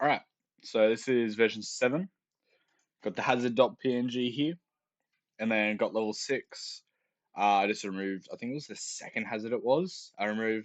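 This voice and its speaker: Quiet speech from a man at a medium pitch and moderate pace, with ordinary pitch variation and long, frequent pauses. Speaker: game developer YouTuber. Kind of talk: casual dev-log commentary.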